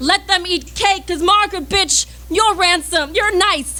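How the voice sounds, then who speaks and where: With music in the background, a woman uses a raised, projected voice at an extremely high pitch, keeping fairly even intonation at a moderate pace. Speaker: slam poet. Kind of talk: slam poetry performance. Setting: live venue.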